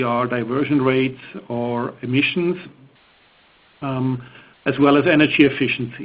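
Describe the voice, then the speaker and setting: Speaking with a Swiss accent, a man uses a medium pitch, a moderate pace and fairly even intonation. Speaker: engineering presenter. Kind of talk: technical webinar presentation. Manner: hesitant, many fillers.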